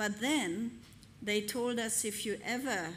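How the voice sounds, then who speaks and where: A woman speaks with a non-native accent. Audible room echo surrounds her voice. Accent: foreign. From Hungary. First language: Hungarian. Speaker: pastor. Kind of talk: sermon. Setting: church.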